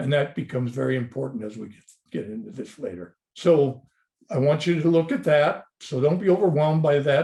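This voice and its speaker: Fairly high in pitch, a man's somewhat breathy voice has a dark, mellow tone and lively intonation. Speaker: dentist lecturer. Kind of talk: webinar lecture. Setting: online webinar. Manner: fast; passionate, animated.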